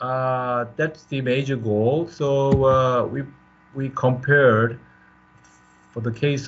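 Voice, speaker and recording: At a fairly slow pace, a man speaks while audible echo fills the room. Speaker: professor. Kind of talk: lecture. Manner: halting.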